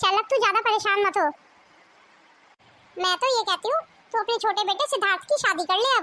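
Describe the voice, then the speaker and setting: Delivered in a cartoonish character voice, the speech races very fast at a very even loudness, broken by long, frequent pauses. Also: woman, extremely high pitch for a woman. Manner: warm, familiar.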